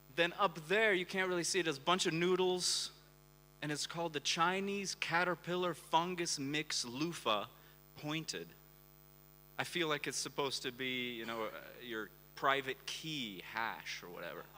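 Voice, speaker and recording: Bright and sharp in tone, a man's fairly high voice carries lively intonation at a moderate pace. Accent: American. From US Pacific Northwest, Portland, Oregon. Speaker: conference speaker, crypto travel reporter. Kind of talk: conference talk. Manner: animated.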